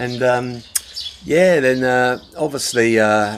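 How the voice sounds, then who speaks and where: A man with a Channel Islands accent amid noticeable background noise. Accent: British English, Channel Islands. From Jersey, Channel Islands. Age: 50s. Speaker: expat vlogger. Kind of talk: casual vlog monologue. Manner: rambling, with many fillers.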